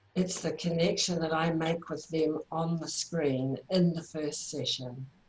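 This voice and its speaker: A woman with a New Zealand accent talks at a fairly slow pace, her very deep, low pitch carrying a dark, mellow tone that is somewhat breathy, with fairly even intonation. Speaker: therapy trainer. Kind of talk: online workshop presentation.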